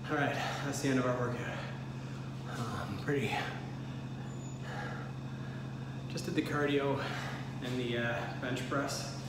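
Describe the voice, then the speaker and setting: Through loud background noise and audible room echo, a man talks at a moderate pace. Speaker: vlogger. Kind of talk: casual vlog chat. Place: bathroom. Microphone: phone near.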